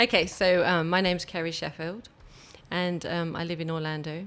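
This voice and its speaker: A woman with an English accent talks at a moderate pace in a medium-pitched voice. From England. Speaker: photographer. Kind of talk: podcast interview.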